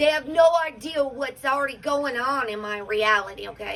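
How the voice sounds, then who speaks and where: Noticeable background noise sits behind a woman's high voice. She keeps a moderate pace with lively intonation. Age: 40s. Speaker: spiritual livestream host. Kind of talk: casual livestream chat.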